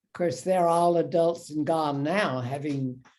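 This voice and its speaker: With an American accent, a woman speaks in a very deep, low pitch with ordinary pitch variation, and audible room echo surrounds her voice. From US South. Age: 80s+. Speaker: war veteran. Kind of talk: interview.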